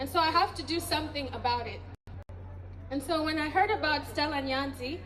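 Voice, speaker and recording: Amid noticeable background noise and audible room echo, a woman with an American accent and a high pitch speaks with fairly even intonation and long, frequent pauses. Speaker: professor and diaspora activist. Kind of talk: speech at community event; reading aloud a poem.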